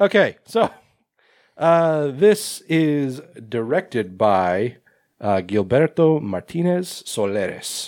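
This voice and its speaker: In a very clean recording with a silent background, a man speaks at a very slow pace with very wide pitch swings. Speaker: podcast host, horror film reviewer. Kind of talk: casual chat.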